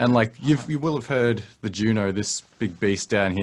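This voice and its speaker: A man at a fairly low pitch and a fairly quick pace. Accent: Australian. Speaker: musician. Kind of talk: casual chat.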